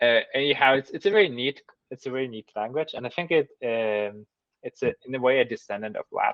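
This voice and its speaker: A medium-pitched man with a slight German accent, fairly quick in pace, with ordinary pitch variation and big swings in loudness. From German-speaking Switzerland. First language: Swiss German. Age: 30s. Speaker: mathematician. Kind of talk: interview. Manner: halting with fillers.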